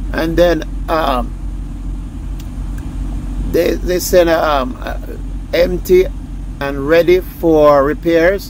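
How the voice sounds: Over clear background noise, a man speaks at a fairly high pitch and a very slow pace, with long, frequent pauses. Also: fairly even intonation.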